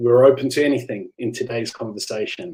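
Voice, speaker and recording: This man speaks with a South African accent. His pitch is medium and his intonation fairly even. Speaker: novelist. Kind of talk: live online book talk. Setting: livestream. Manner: halting, many fillers.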